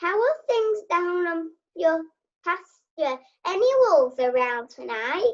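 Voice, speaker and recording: A woman puts on a squeaky character voice at an extremely high pitch, with very wide pitch swings and a fairly slow pace. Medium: stage play. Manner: dry, jokey.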